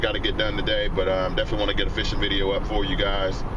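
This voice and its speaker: Loud background noise runs behind a man speaking. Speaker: fishing vlogger. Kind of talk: casual vlog chat. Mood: relaxed, upbeat. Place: car. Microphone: phone near.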